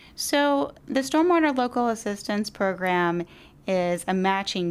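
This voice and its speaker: A woman with an American accent talks at a moderate pace in an ordinary speaking voice, her intonation lively. The recording is very clean, with a silent background. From Virginia. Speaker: environmental advocate, epidemiologist. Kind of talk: interview.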